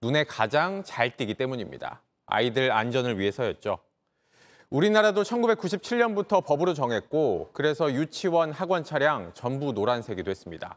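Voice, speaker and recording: This man speaks with a fairly high pitch, very wide pitch swings and a moderate pace. The recording is very clean, with a silent background and a dry, close sound with no echo. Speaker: news anchor. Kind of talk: news reading. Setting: studio.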